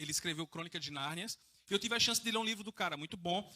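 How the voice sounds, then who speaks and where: Very fast and bright, sharp in tone, a man talks with ordinary pitch variation. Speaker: evangelist preacher. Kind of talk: sermon. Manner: informal, conversational.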